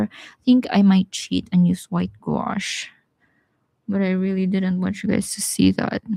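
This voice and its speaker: A woman with a Visayan accent at a moderate pace, in a dry, close recording with no echo. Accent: Bisaya. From Philippines, Bisaya-speaking region. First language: Bisaya (Cebuano). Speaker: watercolor artist. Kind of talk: live painting tutorial. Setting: live stream. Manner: casual, chatty.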